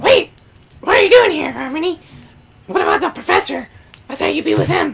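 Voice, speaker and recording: The speaker uses a put-on character voice pitched extremely high. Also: fairly quick pace. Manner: surprised, questioning.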